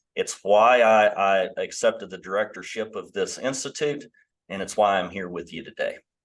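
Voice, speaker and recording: With a West Virginia accent, a man speaks with big swings in loudness. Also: moderate pace. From West Virginia, New River Gorge area. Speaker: professor. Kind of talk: online panel discussion.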